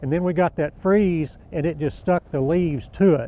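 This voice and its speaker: At a moderate pace, a man with an American accent uses a normal speaking voice, fairly high in pitch, with ordinary pitch variation. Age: 60s. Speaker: cotton farmer. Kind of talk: interview.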